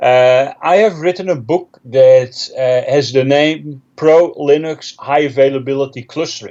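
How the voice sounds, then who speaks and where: The speaker talks with a Dutch accent and hardly any pauses. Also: man, fairly high pitch for a man, ordinary pitch variation, fairly slow pace. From Netherlands. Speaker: technical trainer and author. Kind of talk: interview. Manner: hesitant with fillers.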